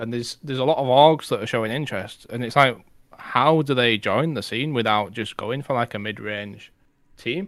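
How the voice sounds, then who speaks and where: A man talks fairly quickly, with ordinary pitch variation. His is an ordinary speaking voice, medium in pitch. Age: 30s. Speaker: esports podcast co-host. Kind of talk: casual chat. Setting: live stream.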